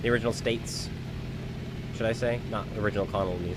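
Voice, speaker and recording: A man speaks at a fairly quick pace with an American accent. Noticeable background noise and audible room echo are present. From New England. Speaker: gaming streamer. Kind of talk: live gameplay stream commentary. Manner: casual, conversational.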